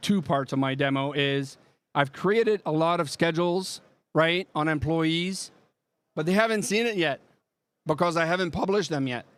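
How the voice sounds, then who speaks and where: Speaking in a strong French Canadian accent, a man keeps a moderate pace with ordinary pitch variation. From Quebec. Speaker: software product presenter. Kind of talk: live product demo. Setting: trade show booth with live audience.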